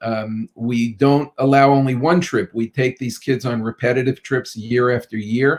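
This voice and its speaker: The sound is dry and close with no echo as a man speaks at medium pitch in a New York accent. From Brooklyn, New York. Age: 50s. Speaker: pediatrician. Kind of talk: interview.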